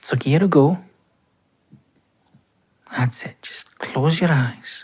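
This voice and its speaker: A man with a Scottish accent. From Scotland. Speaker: voice actor. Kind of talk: boyfriend roleplay sleep aid. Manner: soft-spoken, slow.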